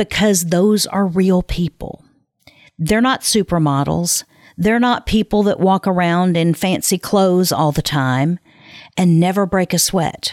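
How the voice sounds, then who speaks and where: A woman with an ordinary speaking voice talks at a medium pitch with ordinary pitch variation and very even loudness, in a dry, close sound with no echo on a very clean recording with a silent background. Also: fairly slow pace. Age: 50s. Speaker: podcast host and production company founder. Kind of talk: solo podcast monologue.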